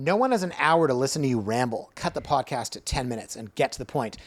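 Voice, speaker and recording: A man's normal speaking voice at a medium pitch, fairly quick and lively in intonation, on a very clean recording with a silent background. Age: 40s. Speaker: realtor and real estate blogger. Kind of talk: casual chat.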